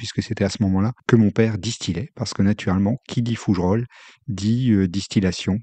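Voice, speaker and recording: A man with a dark, mellow tone and fairly low pitch speaks at a moderate pace with fairly even intonation. The sound is dry and close with no echo, over a quiet background. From France, Haute-Saône (Franche-Comté). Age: 60s. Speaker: former senior civil servant. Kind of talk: life-story interview. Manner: halting, many hesitations.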